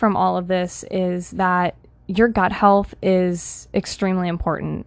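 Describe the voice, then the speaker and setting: A woman with an unremarkable speaking voice talks at a medium pitch and a fairly slow pace. The background is quiet. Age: 20s. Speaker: holistic health coach and podcast host. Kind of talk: personal monologue podcast.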